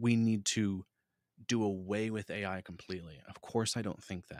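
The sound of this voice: A man at a fairly slow pace, with a dry, close sound with no echo, on a very clean recording with a silent background.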